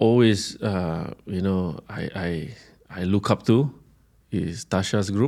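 Speaking at a very slow pace, a man uses ordinary pitch variation in a dark, mellow tone. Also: fairly low pitch for a man. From Singapore. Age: 40s. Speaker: chef. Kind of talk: interview. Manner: halting.

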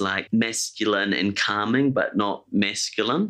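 A man speaks at a medium pitch with a New Zealand accent. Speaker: podcast host. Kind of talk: casual chat. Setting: studio.

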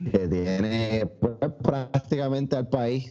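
A man with a Puerto Rican accent speaks at a very slow pace. His medium-pitched voice has a dark, mellow tone and ordinary pitch variation. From Puerto Rico, Añasco. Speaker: podcast co-host. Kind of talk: casual chat.

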